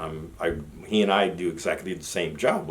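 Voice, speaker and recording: Audible room echo fills the space as the pitch shifts in an ordinary way. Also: man. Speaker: army veteran vlogger. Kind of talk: personal storytelling monologue.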